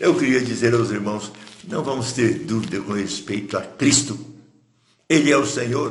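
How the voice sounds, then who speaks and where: Somewhat breathy and medium in pitch, a man talks at a moderate pace with ordinary pitch variation. Long, frequent pauses break up his speech, and there is audible room echo. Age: 80s+. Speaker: pastor. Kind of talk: sermon. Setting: livestream.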